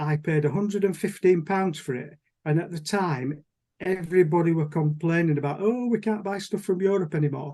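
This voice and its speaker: A man's high-pitched voice with a dark, mellow tone and ordinary pitch variation. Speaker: model engineer. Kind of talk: presentation on Zoom. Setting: video call. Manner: fast.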